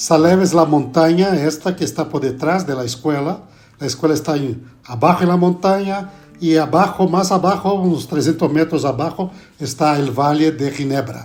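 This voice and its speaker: A man with a Brazilian accent speaks at a moderate pace in a fairly high pitch with ordinary pitch variation. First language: Portuguese (speaking Spanish). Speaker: pastor and theology professor. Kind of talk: podcast interview. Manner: halting.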